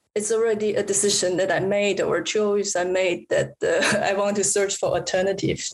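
A woman with a Chinese accent speaks at a medium pitch. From Taiwan. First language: Mandarin Chinese. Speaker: artist. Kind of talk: casual interview conversation. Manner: halting, many fillers.

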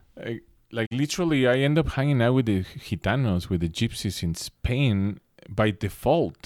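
Speaking at a moderate pace and medium pitch with lively intonation, a man with a Mexican accent is heard in a very clean recording with a silent background. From Mexico City. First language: Spanish. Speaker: instrumental rock guitarist. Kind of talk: casual interview chat.

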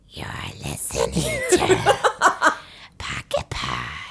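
Someone speaks at a very slow pace in a put-on character voice. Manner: creepy.

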